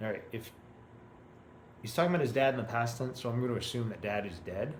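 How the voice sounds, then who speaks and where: A man speaks with an American accent at medium pitch, somewhat breathy, with ordinary pitch variation. Room echo is audible. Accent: American accent when speaking French. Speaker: language learner. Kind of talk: reading practice with commentary. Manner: halting.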